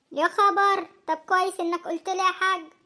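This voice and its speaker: Squeaky and extremely high-pitched, a woman performs a cartoonish character voice. She keeps a monotone, flat intonation at a moderate pace. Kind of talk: comic cartoon acting.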